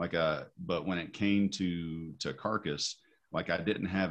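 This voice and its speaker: A man with an Appalachian accent and vocal fry, at a moderate pace and fairly even intonation, against a quiet background. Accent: Southern US (Appalachian). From US South, east Tennessee. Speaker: metal musician. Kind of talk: interview. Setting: video call.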